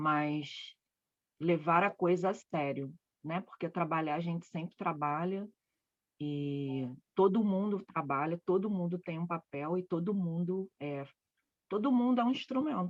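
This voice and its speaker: Recorded dry and close with no echo, a woman speaks at a fairly slow pace with long, frequent pauses and ordinary pitch variation. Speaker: spiritual therapist. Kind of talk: casual chat. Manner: loud.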